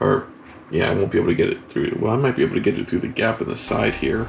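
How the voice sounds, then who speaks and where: A man is speaking. Background noise is noticeable. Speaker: DIY box truck camper builder. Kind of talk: casual talk to camera.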